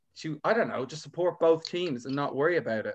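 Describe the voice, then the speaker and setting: Talking very fast, the man lets his pitch vary an ordinary amount. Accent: Irish. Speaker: comedian. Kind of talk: casual chat.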